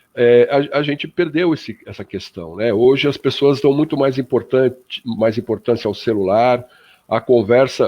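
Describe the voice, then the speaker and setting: A man talks at a moderate pace, with ordinary pitch variation. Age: 60s. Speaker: spiritist radio panelist. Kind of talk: radio panel discussion. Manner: hesitant, many fillers.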